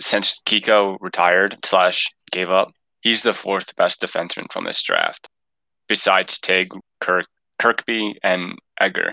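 In a dry, close sound with no echo, a man speaks at a fairly low pitch. His pace is fairly slow and his intonation monotone and flat. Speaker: podcast co-host. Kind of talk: casual podcast interview.

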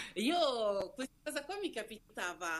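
The speaker talks at a very slow pace in a Lombard accent. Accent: Varese. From Varese area, northern Italy (born in Nigeria, moved at nine). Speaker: Instagram creator, interview guest. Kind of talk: casual interview chat.

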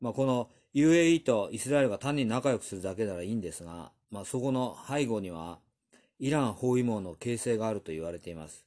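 A man with a medium pitch and a dark, mellow tone talks at a fairly quick pace with lively intonation. His loudness swings widely against a quiet background. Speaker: news commentator. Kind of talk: news commentary monologue. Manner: casual with many fillers.

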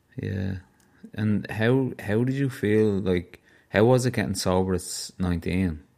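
This man has a Dublin accent and a dark, mellow tone. He talks at a fairly slow pace with a fairly low pitch. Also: ordinary pitch variation. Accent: Dublin Irish. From Ireland. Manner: radio-style podcast voice.

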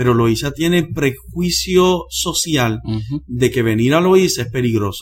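This man talks at a medium pitch and a fairly slow pace. His voice is somewhat breathy, with lively intonation. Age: 40s. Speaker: pastor and missionary preacher. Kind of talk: interview conversation. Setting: church.

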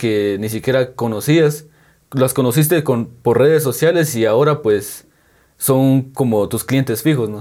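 A man talks at a very slow pace and medium pitch with ordinary pitch variation. His tone is dark and mellow, on a very clean recording with a silent background. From Guatemala, San Juan Comalapa. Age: 20s. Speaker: painter and tattoo artist. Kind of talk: interview. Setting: on location in hometown.

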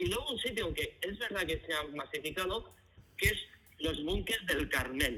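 A man with a high pitch for a man speaks in a raised, projected voice at a moderate pace. His intonation is lively. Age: 50s. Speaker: guest. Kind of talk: casual chat. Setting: phone call.

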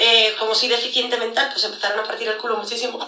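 A woman speaks in a high pitch. Audible room echo surrounds her voice. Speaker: security analyst and lecturer. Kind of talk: casual interview. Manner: animated.

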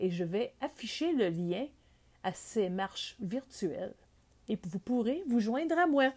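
A woman's fairly high-pitched voice, dark and mellow in tone, on a very clean recording with a silent background. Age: 50s. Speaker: podcaster. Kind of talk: solo podcast monologue. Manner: conversational.

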